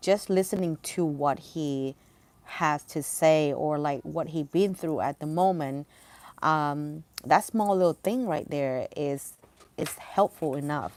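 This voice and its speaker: Speaking fairly slowly, a woman uses a very deep, low pitch with ordinary pitch variation. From Thailand. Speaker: livestreamer. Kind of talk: casual chat. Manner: halting, many fillers.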